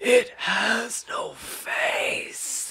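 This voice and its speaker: A put-on character voice whispers in a hoarse, raspy way over light background noise. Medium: read story. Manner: whispering, breathy, eerie.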